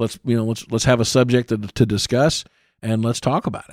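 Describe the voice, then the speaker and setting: A man is heard in a dry, close sound with no echo. The recording is very clean, with a silent background. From Indiana (Columbus). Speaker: fire captain and podcast host. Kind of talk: solo podcast monologue. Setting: studio.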